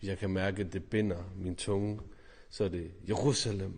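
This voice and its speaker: A man with a very deep, low pitch sounds somewhat breathy and keeps a fairly even intonation. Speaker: priest. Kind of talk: personal testimony to camera.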